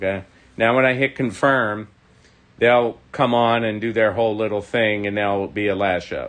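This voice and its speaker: A man talks at a moderate pace in a fairly low voice. His intonation stays fairly even. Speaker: model railroad hobbyist host. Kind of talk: live stream tutorial. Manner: mumbling.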